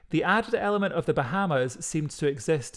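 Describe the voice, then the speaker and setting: Lively intonation in a Scottish accent comes through a very clean recording with a silent background. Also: man. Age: 30s. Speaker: podcast co-host. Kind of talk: casual chat with storytelling.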